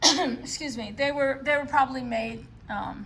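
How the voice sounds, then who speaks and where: A woman with a New York accent, ordinary pitch variation and audible room echo. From New York City. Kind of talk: show-and-tell video. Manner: casual, many filler words.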